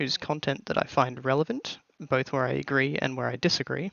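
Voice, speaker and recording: A man with an Australian accent and ordinary pitch variation. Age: 20s. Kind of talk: scripted channel introduction to camera.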